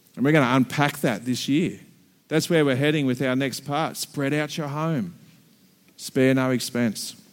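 In an Australian accent, a man speaks at a moderate pace with a fairly high pitch and fairly even intonation. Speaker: pastor. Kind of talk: sermon.

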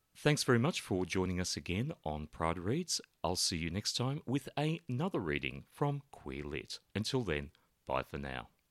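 A man with an Australian accent speaks at a moderate pace and a very deep, low pitch, using very wide pitch swings and vocal fry, in a very clean, silent recording with a dry, close sound and no echo. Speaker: podcast host. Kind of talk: podcast introduction and outro, casual chat.

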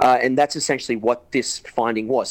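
A man of medium pitch speaks with an Australian accent. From Newcastle, Australia. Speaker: actor and correspondent. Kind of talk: casual chat. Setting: video call.

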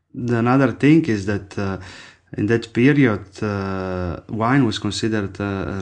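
A man with an Italian accent speaks at a fairly slow pace and a fairly low pitch. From Friuli, northeastern Italy (Slovenian border). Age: 30s. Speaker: winemaker. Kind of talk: casual interview. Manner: halting, with many fillers.

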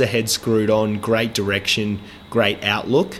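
Over noticeable background noise, a man with an Australian accent talks at a medium pitch. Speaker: podcast host. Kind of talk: casual interview chat; podcast intro monologue.

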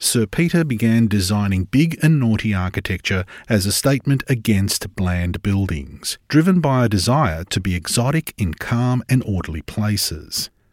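A man's fairly low voice with very wide pitch swings, moderate pace and hardly any pauses, in a very clean, dry, close recording with no echo and a silent background. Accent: Australian. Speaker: podcast producer. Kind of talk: scripted narration.

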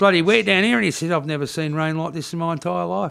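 The voice carries an Australian accent. It moves at a very fast pace. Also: man. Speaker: podcast guest. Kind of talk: casual chat.

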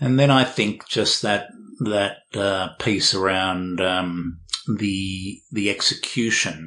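Very slow, very deep, low-pitched male speech in an Australian accent with a bright, sharp tone. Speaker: sales pitching and performance coach. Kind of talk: interview. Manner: hesitant, repeats words.

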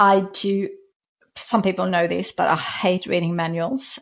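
A woman speaks in a Swedish accent. The background is quiet. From Sweden. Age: 40s. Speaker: stationery brand founder and author. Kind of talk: casual interview conversation. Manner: halting, with repeated words.

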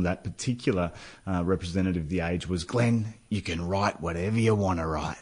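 With an Australian accent, a man talks at a fairly quick pace in a very deep, low voice. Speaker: former footballer turned author. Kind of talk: radio interview. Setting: studio.

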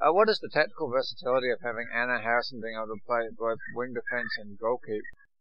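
Over music in the background, a man speaks at a very fast pace with hardly any pauses. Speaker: radio co-host. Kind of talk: radio interview. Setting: studio.

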